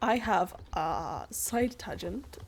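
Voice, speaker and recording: A woman's voice in a Swedish accent. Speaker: gaming youtuber. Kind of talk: gameplay commentary. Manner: halting.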